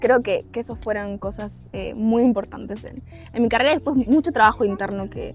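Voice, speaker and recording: A woman speaks in a Uruguayan accent at a moderate pace, with ordinary pitch variation. Music plays in the background. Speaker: government trade officer. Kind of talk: interview answer.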